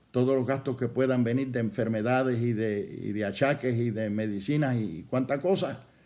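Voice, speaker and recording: Audible room echo surrounds the voice. A man speaks with ordinary pitch variation. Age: 70s. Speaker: pastor. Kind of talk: sermon.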